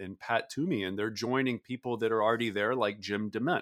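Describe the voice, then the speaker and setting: A man with an American accent and an unremarkable speaking voice, medium in pitch with ordinary pitch variation, in a very clean recording with a silent background and a dry, close sound with no echo. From US South. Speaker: former Senate staffer and political scientist. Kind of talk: interview.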